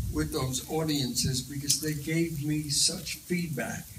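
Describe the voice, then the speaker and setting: Noticeable background noise behind a man's fairly even intonation. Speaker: comedian and actor. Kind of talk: Q&A answer after film screening. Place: hall. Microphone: handheld.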